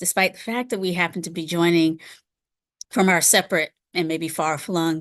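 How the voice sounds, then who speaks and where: A woman at medium pitch over a quiet background. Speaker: Buddhist teacher. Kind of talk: dharma talk. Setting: live stream. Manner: halting, with many fillers.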